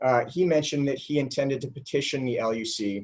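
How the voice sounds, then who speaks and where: Here a man speaks with ordinary pitch variation. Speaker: lawyer. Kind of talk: legal argument at hearing. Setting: video conference. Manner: usually loud. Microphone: too quiet.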